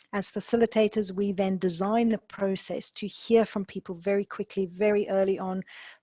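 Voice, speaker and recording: The tone is dark and mellow and somewhat breathy, with a dry, close sound and no echo. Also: woman, medium pitch for a woman. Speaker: executive education academic director. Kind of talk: webinar presentation. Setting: video call webinar. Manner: fast when excited. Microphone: unstable internet connection.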